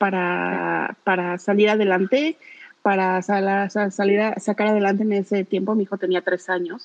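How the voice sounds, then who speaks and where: A woman in an unremarkable speaking voice talks at a fairly slow pace and medium pitch, with fairly even intonation and a dry, close sound with no echo. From Mexico City. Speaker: radio co-host. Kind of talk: casual chat.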